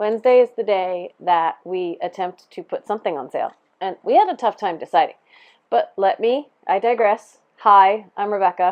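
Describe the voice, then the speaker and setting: A woman's fairly high voice at a moderate pace. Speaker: yarn shop owner. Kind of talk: casual chat. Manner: loud; animated.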